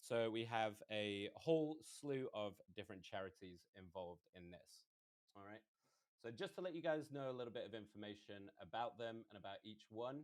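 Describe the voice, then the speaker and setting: Speaking at a moderate pace and medium pitch, a man uses lively intonation with big swings in loudness. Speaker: esports caster. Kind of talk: live commentary. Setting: live stream. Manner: talkative.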